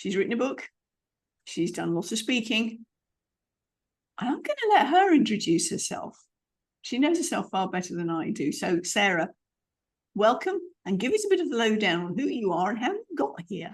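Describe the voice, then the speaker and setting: A British-accented woman with a somewhat breathy, fairly high voice talks at a moderate pace, her pitch swinging very widely, with long and frequent pauses. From UK. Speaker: podcast host. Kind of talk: podcast interview.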